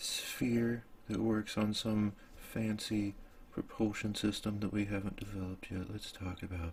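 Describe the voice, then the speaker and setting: A man speaks in a fairly low, somewhat breathy voice. His pace is very slow. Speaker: ASMR content creator. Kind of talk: improvised ASMR storytelling while drawing, sleep aid. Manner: casual, laid-back, musing aloud.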